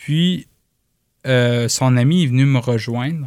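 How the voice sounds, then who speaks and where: Medium-pitched speech from a man. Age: 30s. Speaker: cyclist with multiple sclerosis. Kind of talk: testimony.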